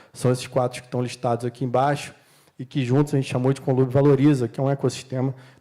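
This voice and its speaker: A fairly quick-paced man with a fairly high voice and a dark, mellow tone. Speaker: panel speaker from city waste management company. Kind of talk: conference panel talk. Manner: fast.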